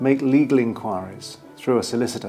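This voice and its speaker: A man talks in a medium pitch. Background music accompanies him. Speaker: property auctioneer. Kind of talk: auctioneer explaining to camera.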